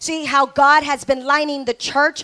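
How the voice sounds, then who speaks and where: In a dry, close sound with no echo, a woman speaks in a high pitch with an animated tone. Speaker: preacher / pastor. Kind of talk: sermon to a live congregation, call-and-response. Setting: church with congregation. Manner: animated, exhortative, rhetorical questions to the crowd; emphatic, repeating phrases for effect.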